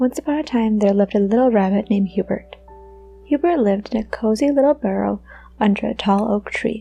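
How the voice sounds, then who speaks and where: Soft-spoken and fairly high in pitch, a woman talks at a fairly quick pace with ordinary pitch variation. Her loudness stays very even while music plays in the background. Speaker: storyteller. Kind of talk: bedtime story reading. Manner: soft-spoken, quiet.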